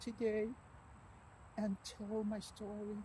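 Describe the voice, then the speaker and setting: A woman's fairly high pitch, somewhat breathy, in a dark, mellow tone at a very slow pace. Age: 60s. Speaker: author and abuse survivor. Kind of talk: personal vlog. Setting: outdoors on a walking trail. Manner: halting, many repetitions.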